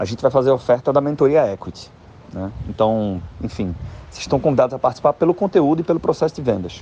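Delivered at a very fast pace, the dark, mellow voice carries vocal fry, very wide pitch swings and big swings in loudness. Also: man, medium pitch for a man. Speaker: podcast host and financial consulting mentor. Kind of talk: casual monologue. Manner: halting.

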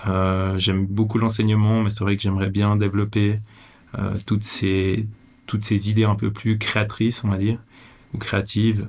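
A man with a fairly low voice talks at a fairly slow pace in monotone, flat intonation, his loudness very even and his pauses long and frequent. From Switzerland (Vevey, Romandy). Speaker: teacher and adventurer, documentary maker. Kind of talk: interview conversation. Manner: hesitant, many fillers.

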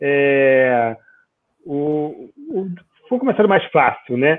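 A man with an unremarkable speaking voice, fairly high in pitch, with lively intonation. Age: 50s. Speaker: data protection consultant. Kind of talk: casual chat.

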